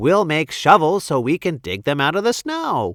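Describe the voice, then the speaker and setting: A man does a put-on character voice on a very clean recording with a silent background. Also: fairly high pitch for a man, moderate pace. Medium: read story. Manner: folksy, exclamatory.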